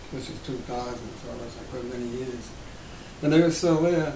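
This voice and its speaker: At a moderate pace, this man talks with audible room echo around his voice. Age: 80s+. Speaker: war veteran. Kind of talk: interview. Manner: halting.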